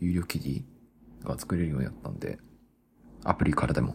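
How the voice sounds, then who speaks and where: This is a male speaker. His delivery is fairly quick. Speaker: solo podcaster. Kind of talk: casual monologue. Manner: fast; casual, laughing.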